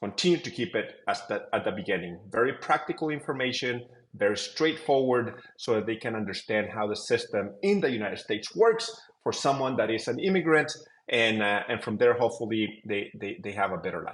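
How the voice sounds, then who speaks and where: With lively intonation, a man speaks at a fairly quick pace and a medium pitch. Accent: Mexican. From Mexico. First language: Spanish. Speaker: tech company co-founder. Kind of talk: interview.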